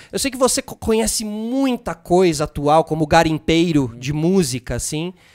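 Over a quiet background, a man with a Brazilian accent speaks at a fairly slow pace. His high voice makes very wide pitch swings. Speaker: podcast host. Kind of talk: casual interview. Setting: studio. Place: studio. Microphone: studio mic.

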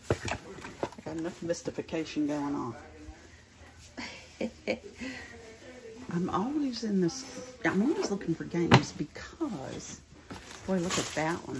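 The speech moves at a fairly slow pace with long, frequent pauses. Loud background noise sits behind it. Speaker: thrift reseller shopping. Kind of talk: casual vlog chat. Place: home room. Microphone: phone near.

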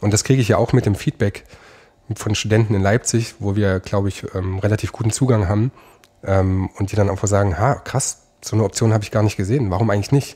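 A man talks at a very fast pace in a fairly low pitch, his voice somewhat breathy with a dark, mellow tone and fairly even intonation. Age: 30s. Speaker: lawyer, law firm founder. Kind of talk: interview.

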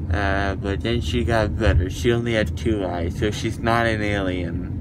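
The sound is dry with no echo as a man talks at a fairly slow pace against loud background noise. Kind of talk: casual chat, groggy. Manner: groggy, slurred, swollen-mouth speech. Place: car. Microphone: phone near.

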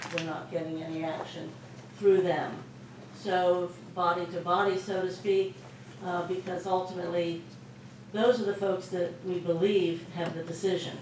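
Amid noticeable background noise and audible room echo, a woman with a fairly low pitch speaks at a moderate pace in a monotone, flat intonation with long, frequent pauses. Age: 60s. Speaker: school board member. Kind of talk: public talk at a luncheon. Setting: luncheon with audience. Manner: hesitant, many fillers.

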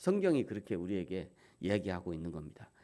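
A man's dark, mellow tone with very wide pitch swings at a fairly quick pace, on a very clean recording with a silent background. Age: 50s. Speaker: pastor. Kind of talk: sermon.

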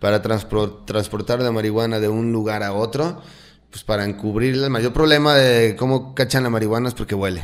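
In front of a quiet background, a man talks fairly quickly, his pitch varying in an ordinary way. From Mexico, Jalisco (Lagos de Moreno); Jalisco, Mexico. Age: 30s. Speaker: cannabis cultivation workshop instructor; podcast guest. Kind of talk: casual interview chat. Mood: relaxed, candid. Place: studio. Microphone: studio mic.

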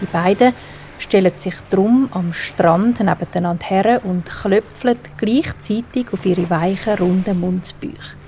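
Music plays in the background as a woman talks at a medium pitch with ordinary pitch variation. Her tone is calm and soothing, her pace very slow. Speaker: storyteller. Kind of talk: bedtime story for children. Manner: calm, soothing.

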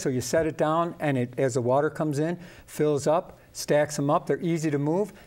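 With a slightly mellow tone, a man talks at a fairly high pitch and fairly even intonation. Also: moderate pace.

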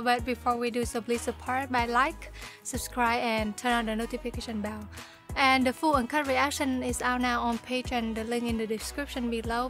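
A woman's high-pitched voice at a moderate pace, dry with no echo, with clear music in the background. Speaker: reaction channel host. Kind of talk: casual vlog intro. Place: home room.

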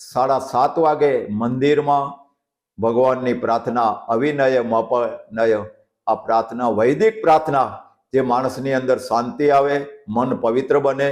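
With an ordinary speaking voice, a man talks at medium pitch, with very even loudness and ordinary pitch variation. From Siyot village, Kutch, Gujarat. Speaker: village elder, sawmill owner. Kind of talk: interview.

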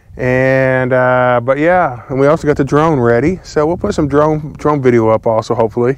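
A man's pitch varies in an ordinary way, the sound dry with no echo and the background quiet. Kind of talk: casual vlog chat. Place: farm machine. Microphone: lapel.

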